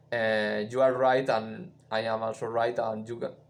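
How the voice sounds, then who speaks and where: The man's pitch is medium, with ordinary pitch variation. There is audible room echo. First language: not English. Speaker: musician and live streamer. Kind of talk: live stream chat. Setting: live stream. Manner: halting, many fillers.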